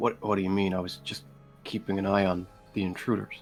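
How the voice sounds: Over clear music in the background, a man uses a gravelly put-on character voice, fairly low in pitch and at a fairly quick pace.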